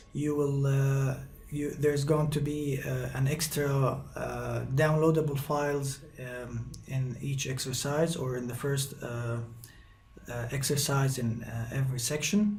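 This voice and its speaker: In an Egyptian accent, a man speaks fairly slowly at a fairly high pitch with fairly even intonation, and audible room echo surrounds his voice. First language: Arabic. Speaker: guitar teacher. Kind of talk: tutorial. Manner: halting, many fillers.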